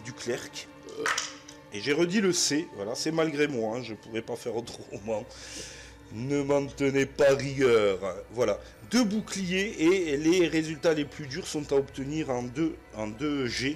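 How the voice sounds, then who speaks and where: Lively intonation marks this man's fairly high voice. He talks at a very slow pace. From southwest France. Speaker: board game player and narrator. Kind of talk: board game playthrough with narration. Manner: casual, hesitant with frequent fillers.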